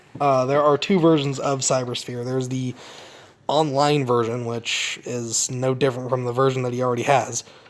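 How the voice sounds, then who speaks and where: There is noticeable background noise as a man talks. His pitch is fairly high, and his pace is moderate. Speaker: mobile game reviewer. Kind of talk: casual gameplay commentary.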